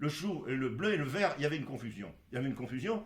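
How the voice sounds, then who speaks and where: A man speaks in a somewhat breathy, fairly high voice, with audible echo in the room. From Poland (Galicia). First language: Polish (speaking French). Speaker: doctor. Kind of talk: interview. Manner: halting, many fillers.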